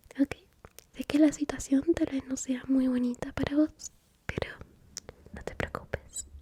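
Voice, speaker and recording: A woman speaks in a high, gentle voice with monotone, flat intonation at a fairly slow pace, pausing long and often. The sound is dry and close with no echo, though there is noticeable background noise. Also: big swings in loudness. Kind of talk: ASMR therapy roleplay, soft-spoken. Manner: soft-spoken, caring, gentle.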